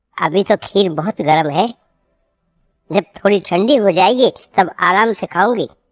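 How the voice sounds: A cartoonish character voice, female-sounding, at a moderate pace and medium pitch for a woman.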